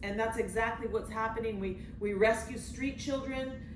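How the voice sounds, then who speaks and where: At a moderate pace, a woman speaks with a fairly high pitch and ordinary pitch variation, with audible room echo and noticeable background noise. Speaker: missionary leader. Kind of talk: testimony.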